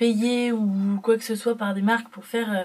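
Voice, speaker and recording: A woman with a fairly high pitch talks at a fairly quick pace in a monotone, flat intonation. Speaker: beauty vlogger. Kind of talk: casual vlog haul. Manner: quiet; hesitant with fillers.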